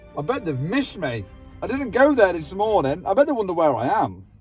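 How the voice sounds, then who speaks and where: Faint music plays behind a man whose voice is high-pitched, recorded dry with no echo. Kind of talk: casual vlog chat. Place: car. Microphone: phone near.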